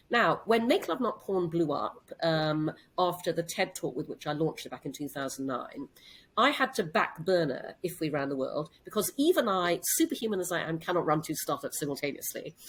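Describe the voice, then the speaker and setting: A plain, everyday voice with lively intonation at a moderate pace, in a very clean recording with a silent background. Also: woman, fairly low pitch for a woman. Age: 60s. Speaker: CEO and entrepreneur. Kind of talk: interview.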